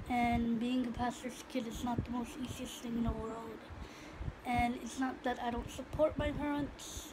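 A high-pitched woman talks at a fairly slow pace in a flat monotone. Background noise is noticeable. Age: 20s. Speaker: vlogger and singing student. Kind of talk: casual vlog monologue. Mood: reflective, personal, faith talk. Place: home room. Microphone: phone near.

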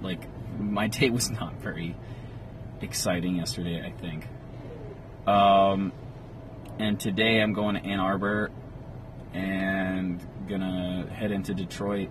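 Over noticeable background noise, a man speaks fairly slowly in a fairly low pitch, the sound dry with no echo. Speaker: vlogger. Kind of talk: casual vlog chat. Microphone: phone near.

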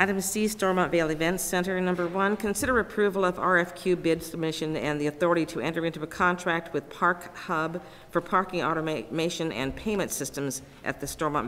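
This woman's pitch is fairly low. She keeps a moderate pace with ordinary pitch variation. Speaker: county clerk. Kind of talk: reading agenda items. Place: meeting room.

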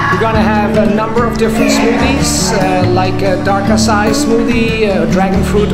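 A man talks at a moderate speed. Loud music fills the background. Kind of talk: interview answer. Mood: proud, welcoming. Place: shop. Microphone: camera far.

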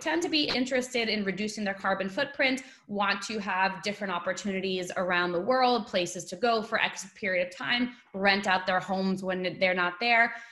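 Against a quiet background, a woman with an unremarkable speaking voice, medium pitch and an American accent talks at a fairly quick pace with ordinary pitch variation. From New York. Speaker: webinar host for overseas property company. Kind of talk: webinar presentation. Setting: video call. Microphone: webcam.

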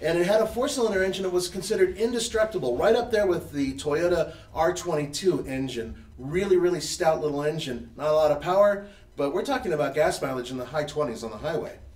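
There is audible room echo as a man speaks at a fairly quick pace. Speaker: show host. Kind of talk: live show discussion. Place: garage.

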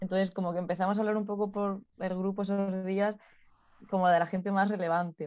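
Monotone and flat, the voice moves along at a fairly quick pace. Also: woman, medium pitch for a woman. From Spain, Ciudad Real; Spain. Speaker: physiotherapist. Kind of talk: interview conversation. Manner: laughs often. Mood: relaxed, smiling. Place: home room. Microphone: video call.

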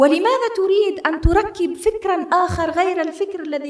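A woman with an Algerian accent, at a moderate pace, with lively intonation, over a quiet background with audible room echo. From Algeria, Aurès mountains. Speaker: novelist and journalist; journalist. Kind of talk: lecture-style talk with audience. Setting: stage with audience. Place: hall. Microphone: podium.

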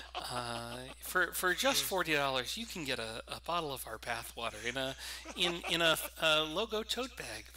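A man's moderate-paced speech comes through with noticeable noise in the background. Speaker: game commentator. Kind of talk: live commentary. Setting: livestream. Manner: loud. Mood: joking, playful. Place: home room. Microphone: echo on mic; headset.

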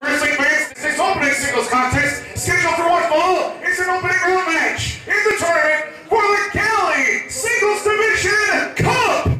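Clear music sounds in the background, with audible room echo. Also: moderate pace. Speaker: ring announcer. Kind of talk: professional wrestling ring announcement. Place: hall.

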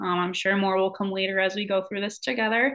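A woman with an American accent talking at a very fast pace against a quiet background. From Michigan. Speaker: graduate student and college advisor. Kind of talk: self-introduction video. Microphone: webcam.

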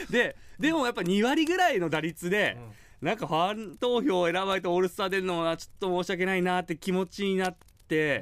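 In a dry sound with no echo and a quiet background, a man with a high pitch talks at a fairly quick pace with lively intonation. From Kyushu, Japan; Japan. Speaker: former pro baseball catcher, radio co-host; guest. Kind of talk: casual chat. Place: studio.

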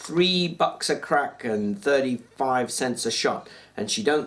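Lively intonation throughout plain reading aloud

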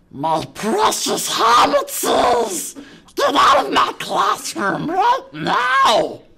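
A put-on character voice, pitched fairly high, speaks at a very slow pace. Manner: hissing, mocking.

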